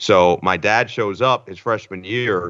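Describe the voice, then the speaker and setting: A man with an American accent talks in a plain, everyday voice over a quiet background. His pitch is fairly low, with ordinary variation. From New Jersey. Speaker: sports play-by-play broadcaster. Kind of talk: casual interview chat.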